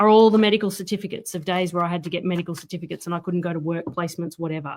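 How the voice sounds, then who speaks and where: A woman talks with an Australian accent. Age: 30s. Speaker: author. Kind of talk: casual chat.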